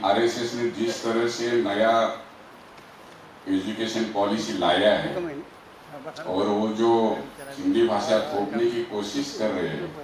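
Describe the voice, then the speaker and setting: A man with a Marathi accent, fairly low in pitch with ordinary pitch variation, amid noticeable background noise and audible room echo. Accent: Marathi-accented Hindi. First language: Marathi (speaking Hindi). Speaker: activist. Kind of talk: speech to an audience.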